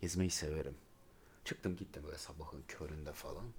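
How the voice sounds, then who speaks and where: Here a man with a very deep, low pitch talks at a fairly quick pace. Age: 30s. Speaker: podcast co-host. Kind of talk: casual chat. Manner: animated.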